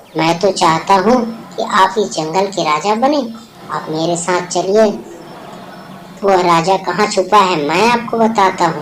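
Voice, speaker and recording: A cartoonish character voice at a middle pitch, speaking at a moderate pace. Background noise is clearly audible. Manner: polite, deferential.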